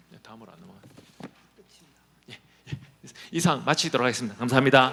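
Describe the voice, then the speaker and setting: A man at a medium pitch and very fast pace, with ordinary pitch variation and big swings in loudness. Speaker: professor. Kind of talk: conference presentation. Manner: clear articulation.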